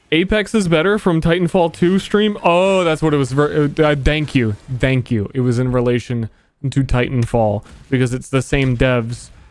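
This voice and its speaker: A man speaks with a fairly high pitch at a moderate pace, keeping his loudness very even. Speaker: video game streamer. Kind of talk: casual livestream chat. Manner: flat, unhappy-sounding.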